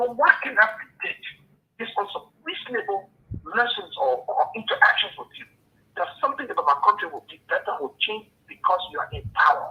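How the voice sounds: A man speaks at a fairly quick pace with few pauses, a high pitch, big pitch swings and a slightly husky edge.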